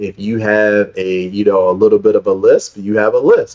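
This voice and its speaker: Speaking in a Baltimore accent, a man with a fairly low voice talks at a moderate pace in a monotone, flat intonation. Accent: East Baltimore. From East Baltimore, Maryland (US). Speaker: speaker coach, founder of speakers network. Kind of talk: interview.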